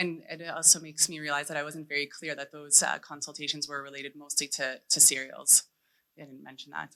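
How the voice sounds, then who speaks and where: A woman talks at a fairly quick pace with a very deep, low pitch and a bright, sharp tone. Her intonation stays monotone and flat while her loudness swings widely. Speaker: conference presenter on seed policy. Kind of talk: conference presentation. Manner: fast.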